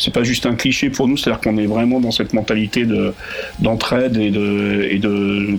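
Moderate pace and very even loudness, with noticeable background noise. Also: man. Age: 40s. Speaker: festival organizer. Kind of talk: radio interview.

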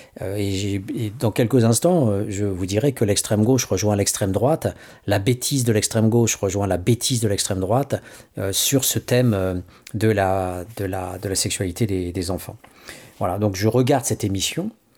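In a dark, mellow tone and a fairly low pitch, a man speaks at a moderate pace with ordinary pitch variation on a very clean recording with a silent background. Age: 50s. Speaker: radio host. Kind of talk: radio commentary. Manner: halting.

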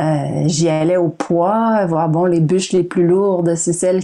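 Over noticeable background noise, a woman with a Quebec accent talks at a fairly slow pace in a fairly low pitch. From Quebec, Montreal. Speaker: novelist and environmental activist. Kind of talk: interview. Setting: video call. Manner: halting.

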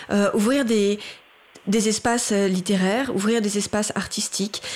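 Over noticeable background noise, a woman talks at a moderate pace in a fairly high pitch. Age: 40s. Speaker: writer and theatre director. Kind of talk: radio interview discussion. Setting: radio studio.

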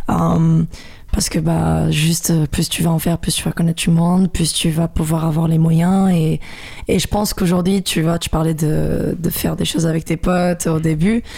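The loudness stays very even over noticeable background noise. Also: woman, moderate pace. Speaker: beatboxer and singer. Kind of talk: casual interview.

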